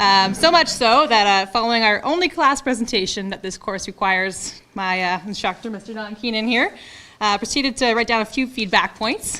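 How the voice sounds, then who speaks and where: A woman speaks with a strong Ontario accent at a fairly quick pace. Her tone is bright and sharp, with ordinary pitch variation. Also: fairly high pitch for a woman. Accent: heavy Ontario. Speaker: firefighter trainee graduate. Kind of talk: graduation speech. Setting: lecture theatre with audience.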